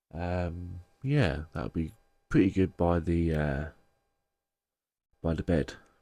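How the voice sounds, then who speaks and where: A man's very deep, low voice in a British accent, dark and mellow in tone, with ordinary pitch variation, a very slow pace and long, frequent pauses, on a very clean recording with a silent background. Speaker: crystal and tarot seller, video creator. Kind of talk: casual show-and-tell vlog. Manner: heavy breathing, pausing.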